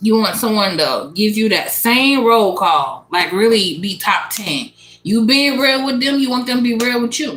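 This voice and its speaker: At a moderate pace, a woman speaks in an animated tone with a fairly high pitch and lively intonation. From Louisiana, US South. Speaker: tarot reader. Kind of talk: live stream tarot reading. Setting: live stream. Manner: casual, animated; stumbling over words.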